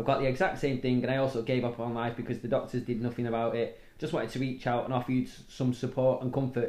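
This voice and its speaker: A man speaks at a very fast pace. His medium-pitched voice has monotone, flat intonation. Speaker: podcast co-host. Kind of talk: casual chat, storytelling. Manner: talkative, rambling storyteller.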